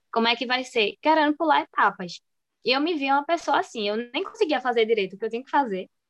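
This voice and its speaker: Loudness swings a lot as a woman speaks very fast in a high voice with very wide pitch swings. The sound is dry and close with no echo. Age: 20s. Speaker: dental student and dessert shop owner. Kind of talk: interview.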